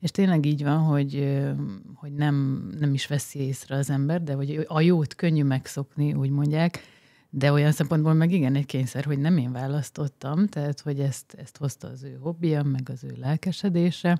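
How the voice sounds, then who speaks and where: In a very deep, low voice with a dark, mellow tone, a woman speaks at a moderate pace with fairly even intonation and big swings in loudness, the sound dry with no echo against a quiet background. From Hungary. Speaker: guest, wife of smart home enthusiast. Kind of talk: casual chat. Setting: studio. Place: studio. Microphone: studio mic.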